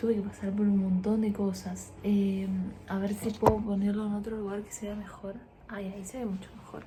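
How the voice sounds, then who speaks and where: This soft-spoken voice moves at a fairly slow pace with a monotone, flat intonation. Audible room echo surrounds it. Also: woman. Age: 20s. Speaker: lifestyle vlogger. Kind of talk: casual vlog storytelling. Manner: quiet, speaking softly.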